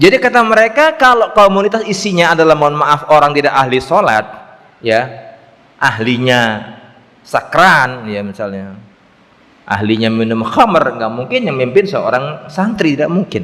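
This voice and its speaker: The voice has very wide pitch swings. Noticeable background noise runs underneath. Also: man, fairly high pitch for a man, moderate pace. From East Java, Indonesia. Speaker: Islamic preacher. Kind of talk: religious lecture with Q&A.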